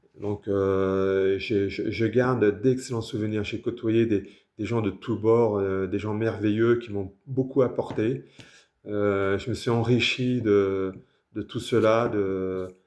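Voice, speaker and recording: Against a quiet background, a man speaks very slowly in a fairly low, monotone, flat voice. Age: 60s. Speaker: author. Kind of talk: casual self-introduction. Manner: hesitant, many fillers.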